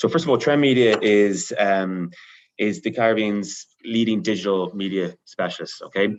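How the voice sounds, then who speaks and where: This man, with an Irish accent, has a fairly low pitch, ordinary pitch variation and a moderate pace against a quiet background. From Ireland. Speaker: media company manager. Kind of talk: panel discussion.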